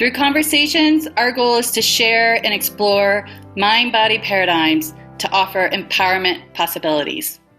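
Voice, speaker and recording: Over music in the background, a woman speaks at a moderate pace with very even loudness. Her voice is fairly high-pitched and swings very widely in pitch. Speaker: certified Rolfer, podcast host. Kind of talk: podcast intro.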